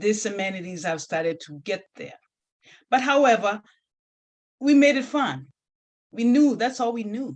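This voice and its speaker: In a Kenyan accent, the speaker talks at a moderate pace with very wide pitch swings, big swings in loudness, and long, frequent pauses. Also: woman, fairly high pitch for a woman. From Kenya, rural village. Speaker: nurse and health advocate, author. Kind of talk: interview. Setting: video call.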